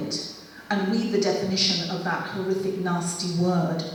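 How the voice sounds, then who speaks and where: At a fairly slow pace, the speech carries audible room echo and noticeable background noise. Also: woman. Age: 60s. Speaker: family history speaker. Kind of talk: public presentation.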